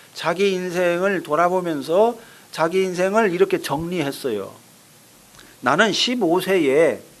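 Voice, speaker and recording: Talking at a very slow pace, a man with a high pitch shows ordinary pitch variation. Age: 60s. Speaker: pastor. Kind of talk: sermon.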